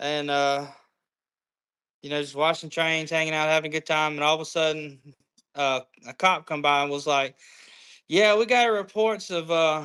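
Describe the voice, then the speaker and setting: Recorded very cleanly against a silent background, a man with a Southern US accent talks at a moderate pace in a fairly high, bright, sharp voice with fairly even intonation. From US South, Georgia. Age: 20s. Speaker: train conductor. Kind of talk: casual chat.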